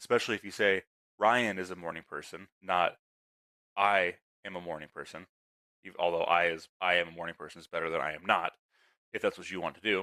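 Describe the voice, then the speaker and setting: A man at very deep, low pitch with a bright, sharp tone, fairly quick and fairly even in intonation, with long, frequent pauses and a dry, close sound with no echo. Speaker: podcast host. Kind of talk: casual solo podcast talk. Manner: stuttering at times; halting, repeats words.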